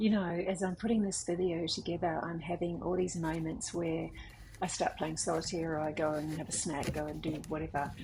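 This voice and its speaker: A woman with an Australian accent and a fairly low pitch talks at a fairly quick pace with fairly even intonation. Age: 50s. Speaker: artist. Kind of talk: casual talk to camera.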